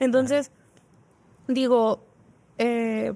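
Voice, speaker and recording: The tone is dark and mellow. A woman speaks at a fairly slow pace. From northern Mexico. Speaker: engineering student; podcast guest. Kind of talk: casual chat. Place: studio. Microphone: studio mic.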